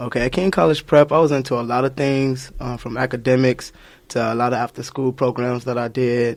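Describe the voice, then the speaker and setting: With an ordinary speaking voice and an American accent, a man talks at a fairly quick pace, medium in pitch, with fairly even intonation. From Chicago. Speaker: community activist. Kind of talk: radio interview.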